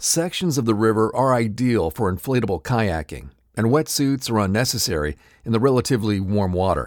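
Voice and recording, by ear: The speaker reads aloud in a natural voice.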